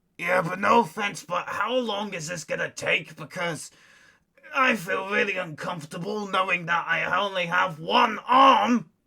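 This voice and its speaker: In a put-on character voice, a man sounds gruff and raspy at a high pitch, speaking at a moderate pace with ordinary pitch variation. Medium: audio drama. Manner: gruff, rude, sarcastic.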